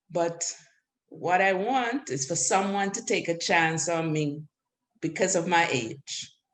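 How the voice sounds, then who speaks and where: A woman speaks in a Caribbean accent. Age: 60s. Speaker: adult student. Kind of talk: panel discussion.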